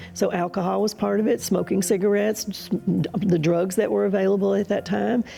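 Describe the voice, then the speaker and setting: A woman with an American accent talks at a moderate pace in a medium pitch with ordinary pitch variation. Her dark, mellow tone carries some vocal fry. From US South, Mississippi. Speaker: interview guest sharing testimony. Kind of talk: testimony. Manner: halting.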